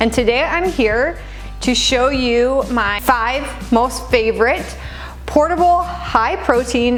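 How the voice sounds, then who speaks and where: A woman's high-pitched voice with lively intonation, music playing in the background. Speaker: registered dietitian and personal trainer. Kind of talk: casual talk to camera.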